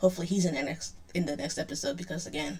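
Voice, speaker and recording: A woman speaks with vocal fry. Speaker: youtube reactor. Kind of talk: casual reaction commentary. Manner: fast; hesitant, filler-heavy.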